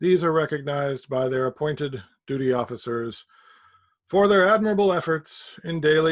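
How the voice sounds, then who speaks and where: A man does a robotic, put-on character voice at a fairly high pitch. The background is quiet. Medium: read story. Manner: mechanical, halting, fragmented.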